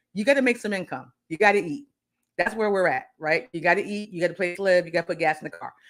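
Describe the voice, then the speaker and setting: Speaking very fast at a medium pitch, a woman sounds animated, with lively intonation. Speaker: career coach. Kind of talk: live stream talk. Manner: loud.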